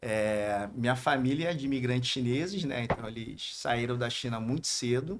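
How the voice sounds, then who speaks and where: Delivered at a moderate pace with hardly any pauses, the speech has ordinary pitch variation and a strong Rio de Janeiro accent. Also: man, medium pitch for a man. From Brazil, Rio de Janeiro. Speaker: businessman. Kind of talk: podcast interview.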